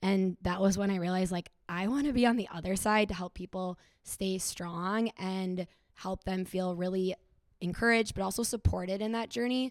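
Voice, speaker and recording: In a Minnesota accent, a woman speaks at medium pitch with fairly even intonation. Her pace is moderate. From Minnesota (Stillwater). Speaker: sobriety coach and health professional. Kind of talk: live podcast panel discussion. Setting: stage with audience.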